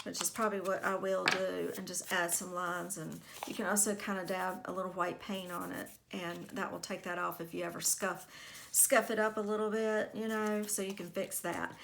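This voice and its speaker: A quiet woman at a medium pitch with vocal fry, monotone and flat, at a moderate pace. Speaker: crafting youtuber. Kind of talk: craft tutorial.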